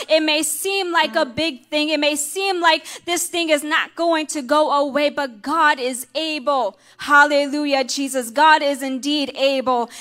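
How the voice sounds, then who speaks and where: A woman's raised, projected voice, bright and sharp in tone, fairly slow and fairly even in intonation, over a quiet background. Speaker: minister preaching. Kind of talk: sermon. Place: church. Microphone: handheld.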